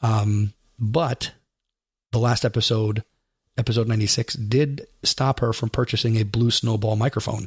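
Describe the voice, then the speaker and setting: Recorded very cleanly with a silent background and a dry, close sound free of echo, a man speaks at a medium pitch and moderate pace in a somewhat breathy voice. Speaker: podcast host. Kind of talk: podcast monologue.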